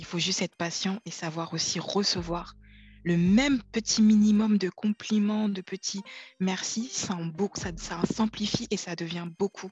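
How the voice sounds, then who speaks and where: Soft-spoken delivery at a fairly slow pace, with fairly even intonation. The sound is dry and close with no echo, and music plays in the background. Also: woman, medium pitch for a woman. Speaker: client giving a testimony. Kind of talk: testimony. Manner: halting.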